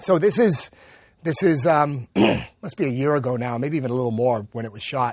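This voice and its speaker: A man with an American accent talks in an unremarkable speaking voice at medium pitch and a fairly quick pace, with ordinary pitch variation and big swings in loudness. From Massachusetts. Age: 50s. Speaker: stuntman. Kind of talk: casual interview chat. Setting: studio.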